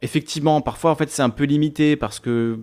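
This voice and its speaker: The intonation stays fairly even in this very clean recording with a silent background. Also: man. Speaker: live streamer. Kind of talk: casual chat. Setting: live stream. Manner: fast.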